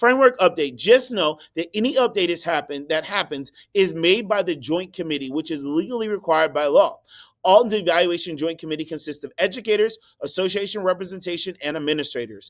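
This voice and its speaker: The intonation is lively and the pace fairly quick. It is a very clean recording with a silent background. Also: man, high pitch for a man. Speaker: school district administrator. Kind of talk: recorded staff presentation. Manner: fast.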